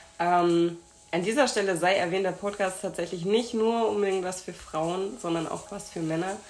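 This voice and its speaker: Intonation stays fairly even, and room echo can be heard. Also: woman, medium pitch for a woman, moderate pace. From Hamburg, northern Germany. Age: 20s. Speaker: podcast host and speech therapist. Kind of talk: casual interview.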